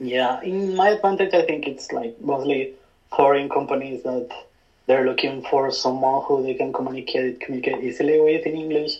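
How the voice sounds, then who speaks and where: Moderate pace and ordinary pitch variation, with a Spanish accent. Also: man, fairly high pitch for a man. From Spain. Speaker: photographer. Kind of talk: casual chat.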